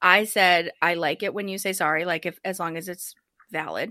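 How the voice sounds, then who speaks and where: A woman with a bright, sharp tone speaks at a fairly quick pace. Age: 30s. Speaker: podcast host. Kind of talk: casual roundtable discussion. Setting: remote call.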